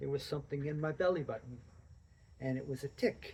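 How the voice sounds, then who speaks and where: This man's pitch is fairly high. His voice is somewhat breathy. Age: 70s. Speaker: amateur runner with Lyme disease. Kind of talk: interview. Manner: halting.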